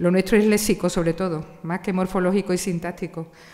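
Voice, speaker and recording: A woman's medium-pitched voice with an Andalusian accent, monotone and flat, at a fairly quick pace. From Andalusia, Spain (Seville). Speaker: literature professor. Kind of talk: panel discussion.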